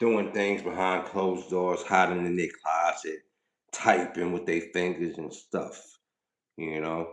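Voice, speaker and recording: A man's very deep, low voice with a New York accent, fairly even intonation and a fairly slow pace. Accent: New York (Bronx). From Bronx, New York. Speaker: rapper and livestreamer. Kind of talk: live stream chat with viewers. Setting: live stream. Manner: casual, hesitant with fillers.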